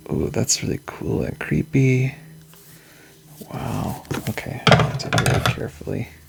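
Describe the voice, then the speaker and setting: A man speaks at a fairly slow pace, with long, frequent pauses. Noticeable background noise runs under his voice. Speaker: tarot youtuber. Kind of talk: unboxing video. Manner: animated.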